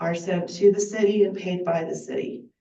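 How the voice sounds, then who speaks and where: In a room with audible echo, a woman speaks in a dark, mellow tone with fairly even intonation. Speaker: volunteer bookkeeper for a heritage group. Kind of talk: public comment at council meeting. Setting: city council meeting.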